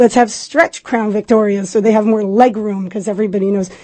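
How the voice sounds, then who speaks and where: Somewhat breathy, a woman of medium pitch speaks with fairly even intonation. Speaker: taxi app company representative. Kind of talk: radio interview.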